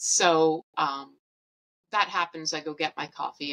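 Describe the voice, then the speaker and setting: A woman's very deep, low voice with a bright, sharp tone and a Canadian accent, recorded dry and close with no echo. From Canada. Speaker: podcast host sharing eating disorder recovery. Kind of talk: personal storytelling. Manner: animated.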